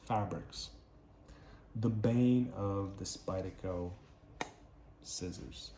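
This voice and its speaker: A man talks very slowly, with a fairly low pitch and a non-native accent, leaving long, frequent pauses. Room echo can be heard. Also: fairly even intonation. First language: not English. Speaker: knife and tool reviewer. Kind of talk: product review tutorial. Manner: casual, with hesitations.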